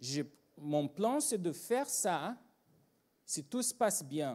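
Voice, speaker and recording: A man with a Brazilian accent, his pitch swinging very widely, over a quiet background. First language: Portuguese (speaking French). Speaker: agile trainer and consultant; agile trainer. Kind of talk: conference talk. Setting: stage with audience. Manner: animated. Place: hall. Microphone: handheld.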